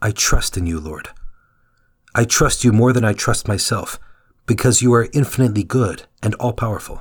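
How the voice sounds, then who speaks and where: A man speaks at a medium pitch in a somewhat breathy voice, leaving long, frequent pauses. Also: ordinary pitch variation, moderate pace. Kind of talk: guided prayer meditation. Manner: fervent, devout, earnest prayer.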